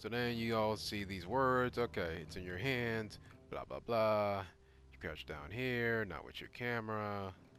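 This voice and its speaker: Against music in the background, the speaker uses an animated tone, ordinary pitch variation and a fairly slow pace. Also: man, fairly low pitch for a man. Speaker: gaming YouTuber. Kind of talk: game playthrough commentary. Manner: casual, animated; stuttering at times.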